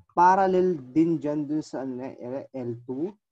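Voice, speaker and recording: A man speaks against a quiet background. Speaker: math teacher. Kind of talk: lecture. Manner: soft-spoken.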